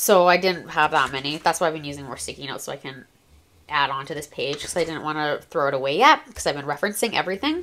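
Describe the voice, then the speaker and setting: Very fast and bright, sharp in tone, the voice shows ordinary pitch variation and big swings in loudness in a very clean recording with a silent background. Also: woman, very deep, low pitch for a woman. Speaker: planner content creator. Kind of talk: casual show-and-tell tutorial. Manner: animated.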